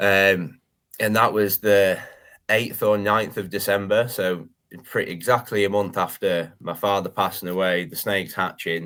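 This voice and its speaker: In a very clean recording with a silent background, a man speaks at a moderate pace with fairly even intonation. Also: fairly low pitch for a man. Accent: northern English. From northern England. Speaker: reptile breeder and YouTuber. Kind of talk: podcast interview, personal story.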